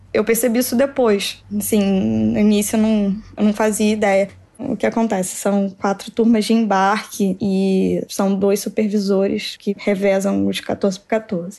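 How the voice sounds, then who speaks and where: A woman speaks at a fairly slow pace and medium pitch, her tone dark and mellow. Her intonation is monotone and flat, over a quiet background. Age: 20s. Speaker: engineer and master's student. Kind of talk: interview testimony.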